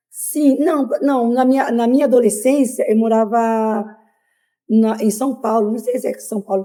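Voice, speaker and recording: Speaking at a moderate pace, a woman has a fairly high pitch and fairly even intonation. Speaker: migrant interviewee. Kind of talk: interview. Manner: hesitant, many fillers.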